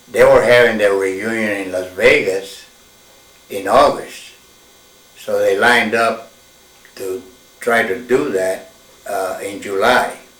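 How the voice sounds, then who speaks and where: With noticeable background noise and audible room echo, a man speaks very slowly, leaving long, frequent pauses. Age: 80s+. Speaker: military veteran and former smokejumper. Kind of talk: oral history interview. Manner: halting.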